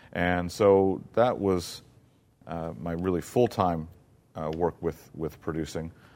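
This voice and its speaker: Very slow speech from a man with an American accent and a very deep, low pitch, in a very clean recording with a silent background. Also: ordinary pitch variation. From US South, Mississippi. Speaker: theater producer and playwright. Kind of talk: interview. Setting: theater.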